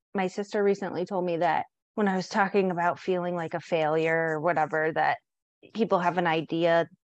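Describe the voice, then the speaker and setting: A woman with an American accent has a normal speaking voice, a fairly low pitch and fairly even intonation. The sound is dry and close with no echo, and the background is quiet. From San Diego, California. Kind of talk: casual chat.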